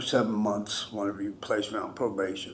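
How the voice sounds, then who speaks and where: A man with an American accent and fairly even intonation, with audible room echo. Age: 60s. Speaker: defendant, military veteran. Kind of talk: courtroom plea for mercy. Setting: courtroom. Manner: halting.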